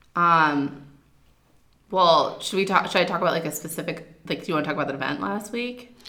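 Over noticeable background noise, a woman talks at a moderate pace and a fairly low pitch. Her pitch varies in an ordinary way, and she takes long, frequent pauses. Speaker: podcast co-host and yoga teacher. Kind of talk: casual chat between co-hosts.

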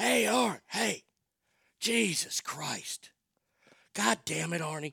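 A man uses a put-on character voice, gravelly and raspy with a fairly high pitch, at a fairly slow pace in a dry, close sound with no echo.

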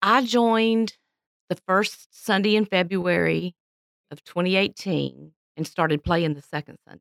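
In a Southern US accent, a woman speaks at a medium pitch and a fairly slow pace, with ordinary pitch variation, big swings in loudness and a dry, close sound with no echo. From Florida, Pensacola. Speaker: church pianist and retired music teacher. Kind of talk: casual interview.

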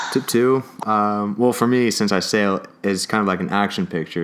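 Over noticeable background noise, a man with a Californian accent speaks fairly quickly at a fairly low pitch, with fairly even intonation and very even loudness. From Oxnard, California. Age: 20s. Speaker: student and sailor. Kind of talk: casual chat.

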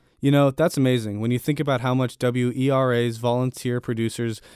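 A man with an unremarkable speaking voice at a medium pitch, fairly even intonation and a fairly quick pace, dry and close with no echo on a very clean recording with a silent background. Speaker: station pledge announcer. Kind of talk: pledge appeal.

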